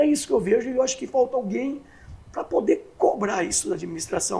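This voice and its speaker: A man talks over noticeable background noise. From Brazil, Catanduva (São Paulo state). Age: 60s. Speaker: municipal election candidate. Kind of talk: interview.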